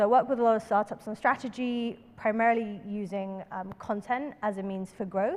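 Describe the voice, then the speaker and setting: With a London accent, the speaker keeps a moderate pace and fairly even intonation, hardly pausing while the loudness swings widely. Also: woman, fairly high pitch for a woman. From London, England. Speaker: workshop presenter, startup consultant. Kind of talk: workshop presentation.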